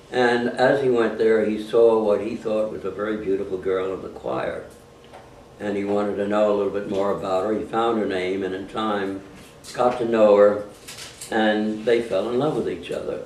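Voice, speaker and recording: A man with a New York accent, fairly even intonation, and audible room echo. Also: fairly low pitch for a man, moderate pace. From New York City (Harlem). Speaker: war veteran. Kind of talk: family storytelling to grandchildren. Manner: halting.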